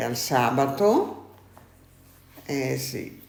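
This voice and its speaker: A woman speaks with a very deep, low pitch. Noticeable background noise sits behind her voice. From Italy, Friuli (Maniago). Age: 80s+. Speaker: former silk mill worker. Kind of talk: interview. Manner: halting.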